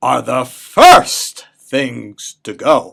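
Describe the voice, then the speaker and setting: Growling, a man performs a put-on character voice. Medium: read story. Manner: snarling, sneering.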